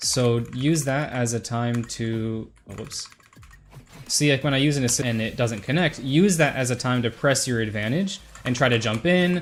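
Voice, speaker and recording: Speech at a moderate pace is accompanied by noticeable background noise. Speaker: gaming streamer. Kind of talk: tutorial; casual chat.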